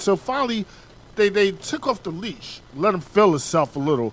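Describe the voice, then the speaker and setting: With noticeable background noise behind him, a man speaks at a fairly quick pace and high pitch with very wide pitch swings. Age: 40s. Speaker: radio host. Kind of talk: interview.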